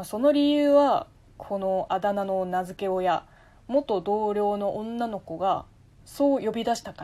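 On a very clean recording with a silent background, a woman with a medium pitch and a dark, mellow tone speaks at a fairly slow pace, her intonation lively and her loudness swinging widely. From China, Taizhou, Zhejiang. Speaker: podcaster. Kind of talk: solo casual talk answering listener mail.

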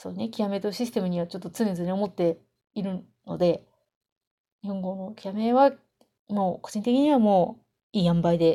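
Using a dark, mellow tone at a medium pitch, a woman talks at a moderate pace with ordinary pitch variation, big swings in loudness and long, frequent pauses. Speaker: solo podcaster, game fan. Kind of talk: casual monologue. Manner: slurred articulation.

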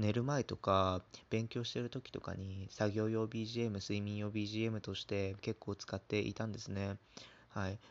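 A man's fairly low, monotone voice with flat intonation at a fairly slow pace. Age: 20s. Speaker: pharmacy student, first-time podcaster. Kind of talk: casual solo talk.

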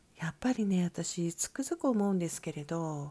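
On a very clean recording with a silent background, a woman speaks at a fairly slow pace in a calm, dark, mellow tone, her pitch swinging very widely. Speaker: solo podcaster. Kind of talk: solo monologue. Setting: soundproofed session room. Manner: calm, unhurried.

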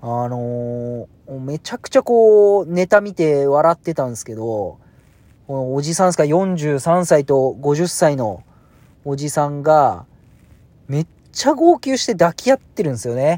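A man speaks with lively intonation. His loudness swings widely. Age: 40s. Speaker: podcaster. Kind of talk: casual monologue. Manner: hesitant with many fillers.

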